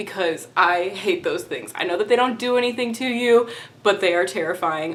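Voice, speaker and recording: A woman with a Texan accent speaks in an upbeat tone at a moderate pace, with noticeable background noise behind her. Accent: mild Texan. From Texas. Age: 20s. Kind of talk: casual talk to camera. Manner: chatty, upbeat.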